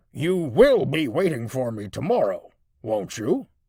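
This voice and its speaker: A put-on character voice, rumbling, raspy and gruff. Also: man, fairly high pitch for a man, moderate pace. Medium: read story. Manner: gruff, grumbling.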